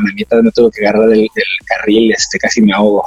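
Talking at a very fast pace, a man comes through with a dry, close sound with no echo and noticeable background noise. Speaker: amateur triathlete. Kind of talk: interview. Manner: halting, many fillers.

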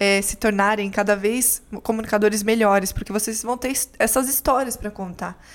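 In an ordinary speaking voice, a woman with fairly high pitch talks at a moderate pace with fairly even intonation on a very clean recording with a silent background. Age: 20s. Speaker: actress, journalist and communication mentor. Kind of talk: casual interview chat.

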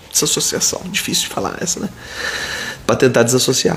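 Lively intonation from a man, with noticeable noise in the background. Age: 40s. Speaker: pediatrician. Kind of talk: live Q&A stream. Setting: live video stream. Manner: casual, chatty.

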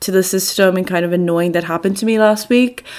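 With a Dublin accent, a woman talks at a medium pitch with ordinary pitch variation. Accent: Dublin Irish. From Ireland, Dublin. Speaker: podcast host, student. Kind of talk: casual chat.

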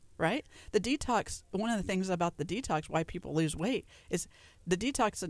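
The recording is very clean, with a silent background. The speaker's intonation is lively. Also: woman. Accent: Southern US. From Louisiana. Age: 40s. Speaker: nutritionist. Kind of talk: radio interview. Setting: radio studio.

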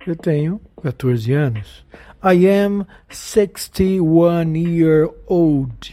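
Very slow speech in a Portuguese accent. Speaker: English teacher. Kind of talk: tutorial. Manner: slow, repetitive drilling.

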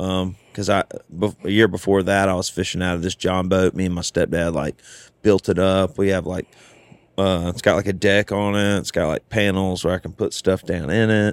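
Speaking in a Southern US accent, a man with a very deep, low pitch keeps a moderate pace and monotone, flat intonation. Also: dry, close sound with no echo. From US South. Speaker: country singer-songwriter. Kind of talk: casual chat. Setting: studio.

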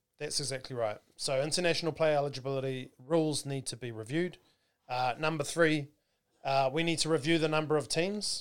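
Talking at a fairly quick pace, a man with a New Zealand accent has a fairly high pitch. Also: ordinary pitch variation. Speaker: rugby podcast host. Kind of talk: casual chat. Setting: studio.

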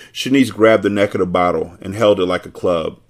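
At a moderate pace, a man with fairly low pitch speaks in a plain, everyday voice. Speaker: podcast host reading novel aloud. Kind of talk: audiobook-style reading aloud of a novel chapter, with casual profane asides. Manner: irreverent, joking, profane banter in the intro, relaxed and conversational.

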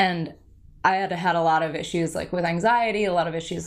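A plain, everyday voice with an American accent and fairly even intonation comes through on a very clean recording with a silent background. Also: woman. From New Jersey. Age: 30s. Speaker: meditation teacher. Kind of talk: casual interview chat.

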